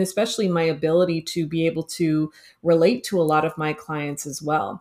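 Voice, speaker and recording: A woman with a Canadian accent speaks at a fairly quick pace in a plain, everyday voice. Her pitch is fairly low with ordinary variation, on a very clean recording with a silent background. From Toronto, Canada. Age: 30s. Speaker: career and business coach. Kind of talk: casual interview.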